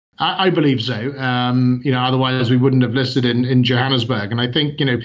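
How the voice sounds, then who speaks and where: Delivered at a fairly quick pace, the speech carries audible room echo. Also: man, medium pitch for a man, fairly even intonation. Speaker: company CEO. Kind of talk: interview. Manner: hesitant, many fillers.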